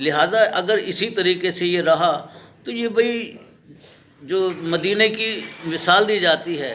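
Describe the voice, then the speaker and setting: Long, frequent pauses break up this raised, projected voice, which has ordinary pitch variation over noticeable background noise. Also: man, high pitch for a man. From Pakistan, Lahore. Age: 70s. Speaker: local citizen interviewee. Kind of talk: street interview complaint. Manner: impassioned.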